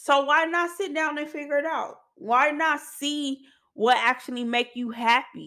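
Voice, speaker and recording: On a very clean recording with a silent background, a woman raises and projects her high-pitched voice, her tone bright and sharp and her pace fairly slow. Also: ordinary pitch variation. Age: 30s. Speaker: podcast host. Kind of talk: casual monologue. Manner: casual, conversational.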